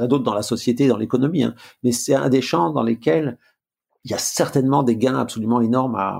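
At a fairly quick pace, a man talks at a medium pitch with vocal fry and ordinary pitch variation. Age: 60s. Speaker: management consultant and author. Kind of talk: interview.

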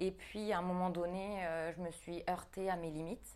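Delivered at a fairly slow pace, the speech is monotone and flat on a very clean recording with a silent background. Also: woman. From New Caledonia. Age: 30s. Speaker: fitness coach and bodybuilding athlete. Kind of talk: casual interview.

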